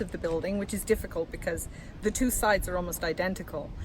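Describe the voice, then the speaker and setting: Her medium pitch and ordinary pitch variation come with vocal fry as this woman speaks. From England, Lancashire-born, moved around (RAF family). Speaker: media and communications officer, author, passer-by interviewed. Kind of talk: impromptu street interview. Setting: outdoors in front of a building under construction.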